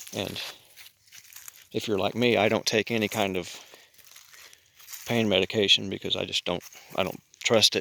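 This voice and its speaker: A soft-spoken man talks at a moderate pace with a fairly low pitch and long, frequent pauses. His intonation is monotone and flat, and the sound is dry and close with no echo. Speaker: prepper vlogger. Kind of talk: casual vlog monologue.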